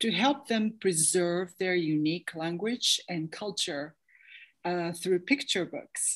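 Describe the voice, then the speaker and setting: A woman with a New York accent talks at a fairly slow pace in a medium-pitched voice. Her intonation is lively, and the background is quiet. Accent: American English, New York. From grew up in New York City. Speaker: artist and author. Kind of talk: interview on video call. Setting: video call.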